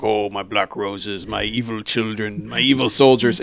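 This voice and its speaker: A man's put-on character voice, fairly low in pitch, over light background noise. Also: moderate pace. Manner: evil, cute-sounding, repetitive.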